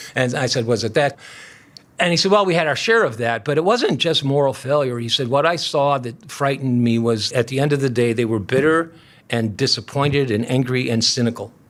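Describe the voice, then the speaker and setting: A man speaks at a fairly quick pace with ordinary pitch variation. His pitch is medium, in a normal speaking voice. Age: 60s. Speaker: pastor. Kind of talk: interview conversation.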